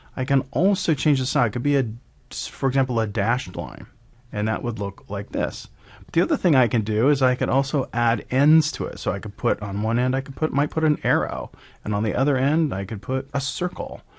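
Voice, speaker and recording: At a fairly quick pace, a man with a normal speaking voice talks at a medium pitch with ordinary pitch variation against a quiet background. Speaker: software tutorial presenter. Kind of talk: screen-recorded software tutorial. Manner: casual, with fillers and self-corrections.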